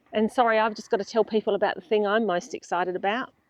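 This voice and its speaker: A woman speaks in an animated tone with an Australian accent. Her voice sounds dry and close, with no echo. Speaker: travel vlogger. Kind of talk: casual vlog chat. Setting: outdoors.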